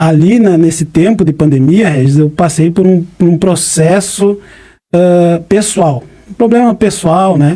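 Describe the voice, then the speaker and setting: At a high pitch and a fairly slow pace, a man speaks with a dark, mellow tone. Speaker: preacher. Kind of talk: interview, personal testimony.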